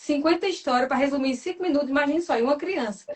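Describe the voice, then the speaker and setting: A woman with a high voice speaks at a very fast pace. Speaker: personality temperament coach. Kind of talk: live stream talk.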